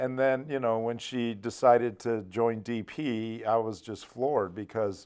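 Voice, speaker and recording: At a fairly slow pace and a medium pitch, a man with an unremarkable speaking voice talks with fairly even intonation and hardly any pauses. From Arizona (South Phoenix). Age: 60s. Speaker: business founder. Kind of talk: casual interview. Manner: conversational, with filler words and restarts.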